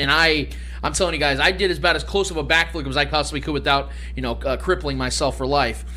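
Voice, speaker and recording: A man with an American accent talking at a very fast pace amid noticeable background noise and audible room echo. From Kansas City, US Midwest. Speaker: sports podcast host. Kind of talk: casual sports talk. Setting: studio. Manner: animated.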